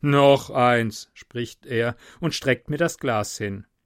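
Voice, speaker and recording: In a very clean recording with a silent background and a dry, close sound with no echo, a man speaks at a very slow pace with a medium pitch. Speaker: podcaster. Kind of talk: reading aloud.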